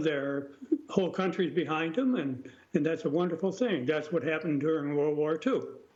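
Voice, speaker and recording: This man has an American accent and a high pitch with ordinary variation. Room echo is audible. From United States. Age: 90s. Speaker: war veteran. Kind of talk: interview.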